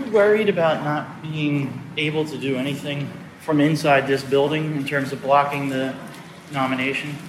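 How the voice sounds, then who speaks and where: A man's fairly high voice at a moderate pace, fairly even in intonation, over noticeable background noise. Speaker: journalist. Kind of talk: interview.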